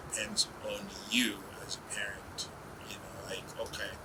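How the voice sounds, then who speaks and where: The speaker is whispering. Noticeable background noise sits behind the voice. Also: man. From Uganda. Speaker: business executive. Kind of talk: interview.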